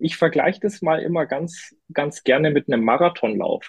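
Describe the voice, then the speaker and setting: A man's high-pitched voice at a moderate pace. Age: 20s. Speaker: climate-tech partner manager. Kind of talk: podcast interview. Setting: studio. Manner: hesitant, many fillers.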